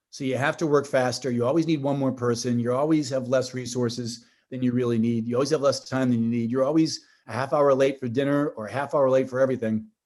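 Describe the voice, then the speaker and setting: A man's medium-pitched voice with a Boston accent, very fast delivery, and a quiet background. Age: 50s. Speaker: tech company executive. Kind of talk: podcast interview. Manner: animated, with frequent restarts and fillers.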